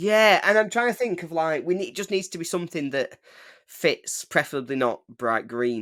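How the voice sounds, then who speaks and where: A man's voice with very wide pitch swings. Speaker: football podcast co-host. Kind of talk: casual chat. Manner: fast.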